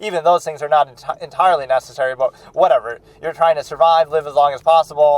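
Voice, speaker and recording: A man's fairly quick, fairly high-pitched speech with fairly even intonation, in a dry, close sound with no echo. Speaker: film reaction channel host. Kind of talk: philosophical monologue. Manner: loud; halting.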